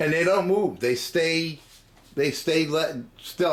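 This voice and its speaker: Mumbling, a man talks at a fairly slow pace. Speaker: guitar hobbyist video maker. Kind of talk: tutorial. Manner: halting.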